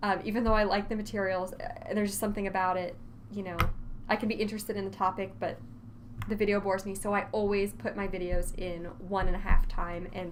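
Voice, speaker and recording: Speaking very fast in a room with audible echo, a woman keeps a medium pitch and a fairly even intonation. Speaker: college instructor. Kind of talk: lecture. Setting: recorded online course video.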